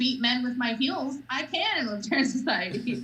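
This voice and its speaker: Loud and high-pitched, a woman with an American accent speaks with ordinary pitch variation amid audible room echo. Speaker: political party spokesperson. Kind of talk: casual interview chat. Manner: loud, outspoken.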